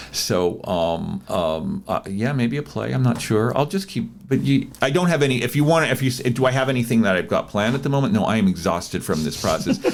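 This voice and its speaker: Over noticeable background noise, a man at medium pitch speaks at a fairly quick pace with hardly any pauses. His pitch swings very widely. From Hawaii (Hilo, Big Island). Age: 60s. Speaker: playwright and actor. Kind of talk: interview conversation. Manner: halting, many fillers.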